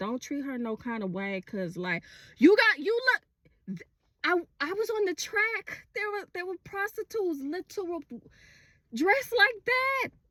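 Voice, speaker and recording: With an American accent, a woman uses a raised, projected voice with a bright, sharp tone, animated and swinging very widely in pitch at a moderate pace, captured in a dry, close sound with no echo. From Texas, Houston. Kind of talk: casual social media monologue. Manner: casual.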